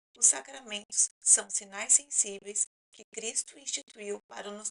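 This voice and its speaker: A woman speaks at medium pitch and a fairly slow pace, with vocal fry. Her tone is bright and sharp, and the sound is dry and close with no echo. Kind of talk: talking-head explainer.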